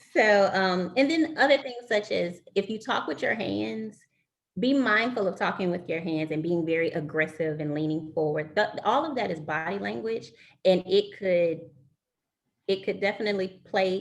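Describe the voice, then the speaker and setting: A woman has a normal speaking voice at medium pitch. She talks at a moderate pace with lively intonation. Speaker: recruiter giving career advice. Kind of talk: webinar presentation.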